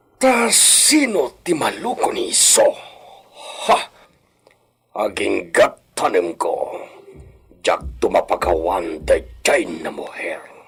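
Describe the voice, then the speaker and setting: A man's put-on character voice, very slow, with long, frequent pauses. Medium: audio drama. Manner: commanding, scheming.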